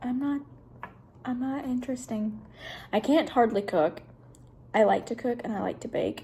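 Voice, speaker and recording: Here a woman talks with a Kentucky accent at a moderate pace. She shows ordinary pitch variation. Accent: Kentucky Southern US. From Kentucky, small town. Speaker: vlogger, nursing student. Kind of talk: casual vlog introduction. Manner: soft-spoken.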